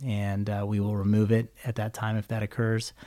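A man with a Californian accent speaks at medium pitch with a dark, mellow tone. He moves at a fairly quick pace. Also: very clean recording, silent background. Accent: General American (Californian). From California Central Valley, Visalia. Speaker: eye surgeon. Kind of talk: interview. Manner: hesitant, many fillers.

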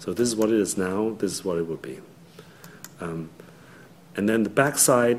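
A man with a fairly low pitch talks at a moderate pace with ordinary pitch variation. Long, frequent pauses break up his speech, and audible room echo is present. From Hong Kong. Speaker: architect. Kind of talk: lecture. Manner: halting, many fillers.

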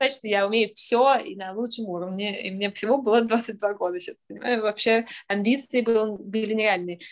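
In a plain, everyday voice, a woman speaks at a moderate pace with fairly high pitch, fairly even intonation and big swings in loudness. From Russia, St Petersburg. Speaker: artist. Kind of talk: interview.

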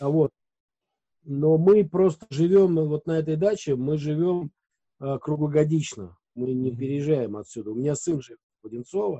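This man's voice sits at a fairly high pitch with ordinary pitch variation and big swings in loudness. He keeps a moderate pace broken by long, frequent pauses. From Moscow region, Russia. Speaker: radio host and editor. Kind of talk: casual interview chat.

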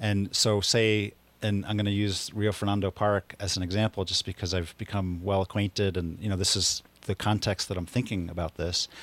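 Recorded very cleanly with a silent background and a dry, close sound with no echo, a man with a plain, everyday voice speaks at a fairly low pitch and moderate pace in an American accent. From US Northeast, Philadelphia. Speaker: land trust restoration crew leader. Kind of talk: radio interview.

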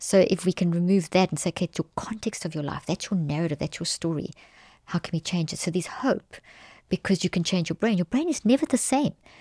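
At a very fast pace and with lively intonation, a woman speaks in a fairly low, dark, mellow voice, captured in a very clean recording with a silent background and a dry, close sound with no echo. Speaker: cognitive neuroscientist and author. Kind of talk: interview conversation. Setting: in-person studio.

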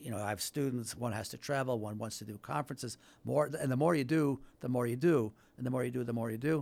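A man of medium pitch talks at a very fast pace. His pitch variation is ordinary. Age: 60s. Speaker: law professor. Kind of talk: radio interview.

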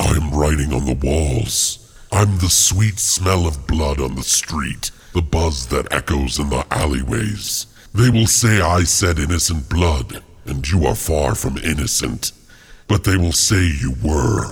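Using a put-on character voice, a man speaks at a fairly slow pace in a very deep, low pitch.

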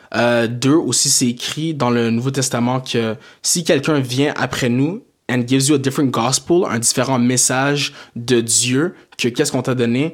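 An ordinary speaking voice at a fairly slow pace, with fairly even intonation. The recording is very clean, with a silent background. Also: man, medium pitch for a man. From Quebec, Montreal area, Haitian family. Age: 20s. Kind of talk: casual chat.

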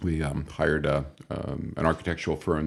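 A man's very deep, low voice with vocal fry, a Midwestern US accent and a moderate pace. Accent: US Midwest. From northwest Iowa. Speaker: healthcare executive. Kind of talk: interview. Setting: home studio.

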